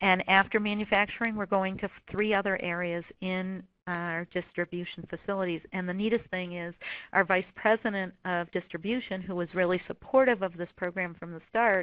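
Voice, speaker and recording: An unremarkable speaking voice from a woman, medium in pitch, with fairly even intonation, big swings in loudness and a moderate pace. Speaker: corporate wellness program manager. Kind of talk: webinar presentation. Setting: webinar.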